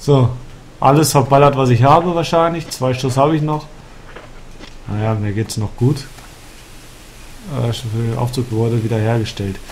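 A man at a moderate pace with long, frequent pauses and ordinary pitch variation, over noticeable background noise. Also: medium pitch for a man. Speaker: let's play gamer. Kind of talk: casual gameplay commentary.

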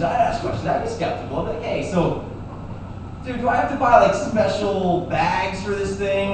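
Strong room echo and noticeable background noise surround the speaker. A man talks at a moderate pace. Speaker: stand-up comedian. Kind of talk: stand-up comedy routine. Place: bar. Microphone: camera far.

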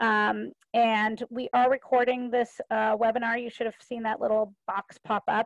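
A woman's voice with ordinary pitch variation, dry with no echo, over a quiet background. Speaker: webinar moderator, presenter. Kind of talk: webinar introduction. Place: home room. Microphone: video call.

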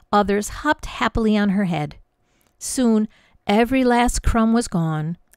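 A natural voice reads aloud. Little can be heard in the background.

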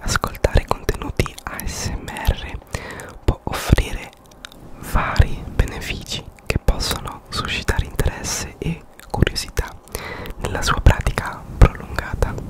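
Whispering at a fairly slow pace, a man leaves long, frequent pauses, his loudness swinging widely over noticeable background noise. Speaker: ASMR content creator. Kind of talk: ASMR explainer narration, calm educational talk. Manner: calm, soft, relaxing.

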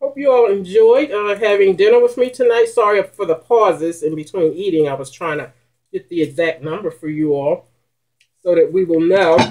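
A woman with lively intonation at a moderate pace, against a quiet background. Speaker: mukbang vlogger. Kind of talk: casual vlog chat. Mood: warm, cheerful. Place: home room. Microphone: webcam.

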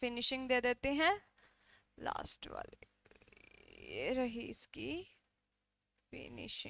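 A woman is talking at a very slow pace. The sound is dry, with no echo. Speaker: drawing teacher. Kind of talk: tutorial. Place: studio. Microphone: headset.

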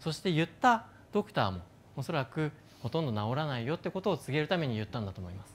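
Somewhat breathy, a man speaks at a very fast pace with a fairly high pitch and very wide pitch swings. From Japan. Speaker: neuroscientist and company founder; speaker. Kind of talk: stage talk. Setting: stage with audience. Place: stage. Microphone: lapel.

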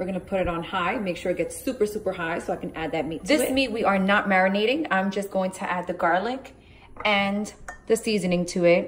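The speaker talks at a fairly quick pace with ordinary pitch variation over light background noise. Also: woman. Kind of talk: casual cooking tutorial, Spanish-English mix. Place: kitchen. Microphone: phone near.

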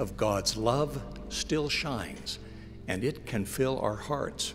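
Very slow speech from a man, music playing in the background. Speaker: radio broadcast announcer delivering spoken-word message. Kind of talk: inspirational spoken-word message. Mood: warm, gentle, hopeful. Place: hall. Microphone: podium.

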